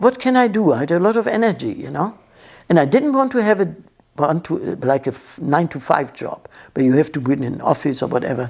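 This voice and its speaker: A woman with a German accent talks very fast at a fairly low pitch. Her pitch swings very widely and her loudness shifts a lot. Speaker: interviewee telling her life story. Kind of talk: life story interview. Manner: halting, many false starts.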